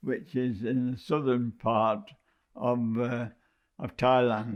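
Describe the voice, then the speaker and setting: At a very slow pace, a man speaks with a British accent. His pitch variation is ordinary. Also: medium pitch for a man. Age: 90s. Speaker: war veteran, former prisoner of war. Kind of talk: oral history testimony. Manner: halting, many hesitations.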